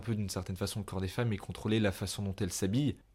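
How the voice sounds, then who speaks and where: Very fast and fairly even in intonation, a man with a fairly low pitch speaks in a dark, mellow tone. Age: 20s. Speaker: podcast host. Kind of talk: solo podcast monologue. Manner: casual, hesitant with fillers.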